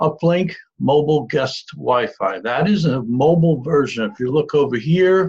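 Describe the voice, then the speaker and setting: The man's voice is fairly high and somewhat breathy, with ordinary pitch variation. He speaks at a moderate pace, and his loudness swings widely. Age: 60s. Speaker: marketing presenter. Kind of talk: sales pitch. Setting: screen-share video call. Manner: halting.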